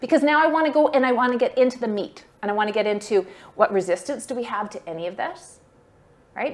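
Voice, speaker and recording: A woman's fairly quick delivery. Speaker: fundraising workshop presenter. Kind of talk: workshop talk. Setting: workshop room with online attendees. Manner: fast.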